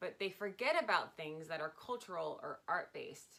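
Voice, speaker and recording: The tone is bright and sharp. It is a woman with an American accent. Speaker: stripper and sign language interpreter. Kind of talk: casual interview. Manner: fast.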